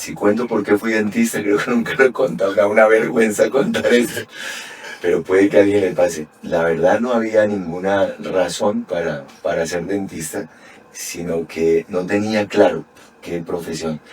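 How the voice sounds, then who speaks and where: A man at a moderate pace with ordinary pitch variation, noticeable background noise behind him. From Colombia, Bogotá. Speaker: dentist and lecturer. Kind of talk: podcast interview.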